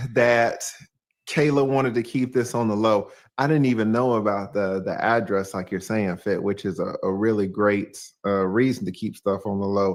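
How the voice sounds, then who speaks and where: A man with a Southern US accent speaks at a moderate pace and medium pitch, with ordinary pitch variation. The recording is very clean, with a silent background. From US South, Atlanta, Georgia. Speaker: YouTuber. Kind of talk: casual chat on livestream.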